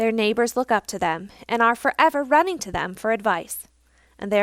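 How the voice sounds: A natural reading voice is heard here.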